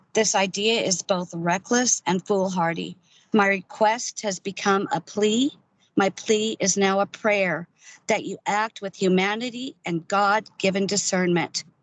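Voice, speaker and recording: A woman with an American accent, medium pitch, ordinary pitch variation and a fairly slow pace. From Oregon. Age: 60s. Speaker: public commenter. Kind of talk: public testimony.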